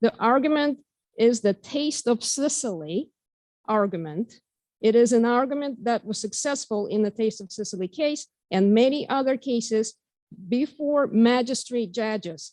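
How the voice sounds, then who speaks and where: At a moderate pace, a woman with a Russian accent talks in a fairly high voice with lively intonation, the sound dry and close with no echo. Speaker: member of the public giving comment. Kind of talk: public comment at school board meeting. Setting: meeting hall with microphone. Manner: halting. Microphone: too quiet, not speaking into microphone.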